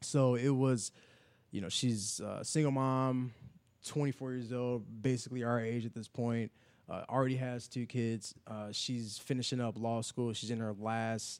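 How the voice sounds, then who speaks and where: Someone with an American accent talks at a fairly slow pace in a flat monotone. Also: man. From Chicago, South Side. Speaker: clothing brand owner. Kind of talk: casual interview.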